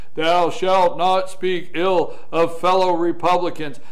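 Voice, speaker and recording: In a put-on character voice, the speaker talks at a fairly slow pace with a solemn tone. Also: man. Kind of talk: biblical. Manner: commanding, solemn.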